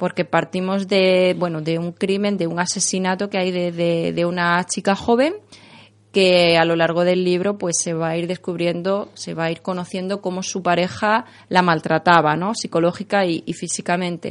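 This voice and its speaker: Over a quiet background, a woman's fairly low, monotone voice with flat intonation at a moderate pace. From Extremadura, Spain. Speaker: writer and lawyer. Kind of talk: interview.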